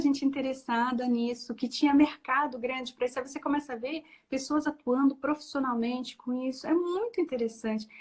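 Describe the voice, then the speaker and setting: Loudness swings widely while the speech runs fairly quick, its pitch varying in an ordinary way. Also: woman. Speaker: bibliotherapist, librarian. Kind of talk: interview answer.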